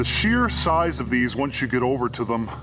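A man keeps a moderate pace while clear music sounds behind him. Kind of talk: casual vlog commentary. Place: open country.

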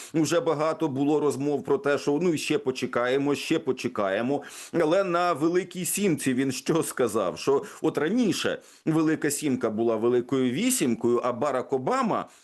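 An unremarkable speaking voice from a man, fairly high-pitched with lively intonation, moderate pace and very even loudness against a quiet background. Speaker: radio host. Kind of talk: news discussion. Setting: studio.

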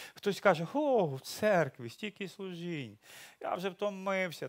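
Against a quiet background, a man speaks at a fairly slow pace. His pitch is high and his intonation lively. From Ukraine. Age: 60s. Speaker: pastor. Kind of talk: sermon. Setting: church. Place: church. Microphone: headset.

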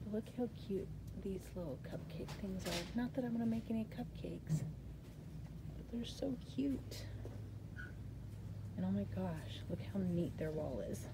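A woman at a fairly slow pace with long, frequent pauses amid noticeable background noise. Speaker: crafting channel host. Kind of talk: casual vlog chat. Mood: cheerful, excited. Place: shop. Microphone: phone near.

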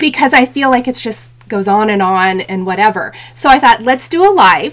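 The delivery has lively intonation. It moves at a moderate pace. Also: woman. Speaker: craft channel host. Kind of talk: casual livestream chat. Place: home room.

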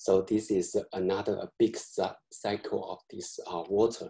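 A man talks at a fairly slow pace over a quiet background. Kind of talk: lecture. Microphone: webcam.

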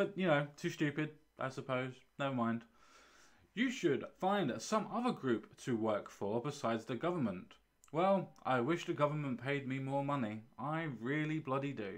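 A man speaks in an English accent at a moderate pace. His pitch is fairly high, his intonation lively, and the background quiet. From UK. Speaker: YouTube commentator. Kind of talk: response video, monologue reacting to a comment. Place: home room. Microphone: studio mic.

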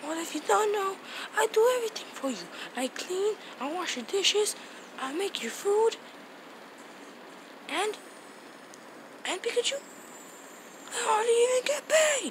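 An extremely high-pitched cartoonish character voice with long, frequent pauses and clear background noise. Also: moderate pace. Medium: puppet show. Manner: indignant, then yelling angrily.

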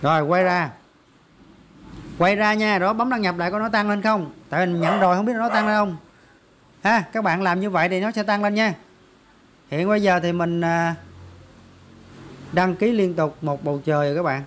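This man's voice is high-pitched, with a fairly bright tone and ordinary pitch variation. He keeps a moderate pace broken by long, frequent pauses.

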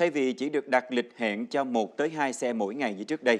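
Here a man speaks at a moderate pace, with medium pitch and ordinary pitch variation. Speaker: news anchor. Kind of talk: news reading. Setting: studio. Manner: formal. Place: studio. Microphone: lapel.

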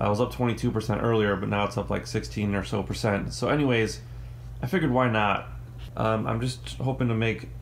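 With very wide pitch swings and vocal fry, the voice comes through over light background noise. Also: man, fairly low pitch for a man, moderate pace. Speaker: retail investor vlogger. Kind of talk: casual vlog chat. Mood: excited about a trade. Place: home room. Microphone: phone near.

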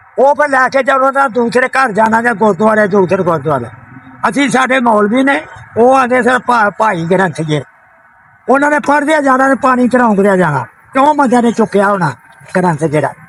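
Over noticeable background noise, a man speaks in an extremely high pitch. His intonation is lively and his loudness very even. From Sialkot, Punjab, Pakistan. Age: 80s+. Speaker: elderly villager, former farmer. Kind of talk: interview answer. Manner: confident.

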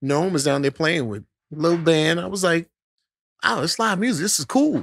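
The man has a plain, everyday voice, fairly high in pitch, with lively intonation. His pace is moderate, and the sound is dry and close with no echo. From Brooklyn, New York (Bedford-Stuyvesant). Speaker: singer. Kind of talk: casual chat.

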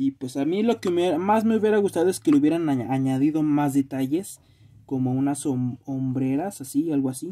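Against a quiet background, a man with a Mexican accent speaks at a moderate pace in a fairly high voice with a dark, mellow tone. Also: ordinary pitch variation. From Mexico. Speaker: YouTuber reviewing toys. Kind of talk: unboxing video. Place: home room. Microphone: phone near.

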